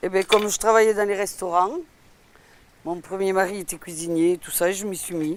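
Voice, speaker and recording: At a moderate pace, a woman with a medium pitch and fairly even intonation talks with big swings in loudness and long, frequent pauses. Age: 60s. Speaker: retired cook. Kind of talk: cooking demonstration. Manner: casual, halting.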